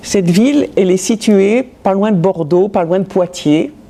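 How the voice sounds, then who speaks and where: Noticeable background noise accompanies a woman talking at a very slow pace. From France, Metz (Lorraine). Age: 80s+. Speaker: Holocaust-era witness. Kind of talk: testimony. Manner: halting, with many repetitions.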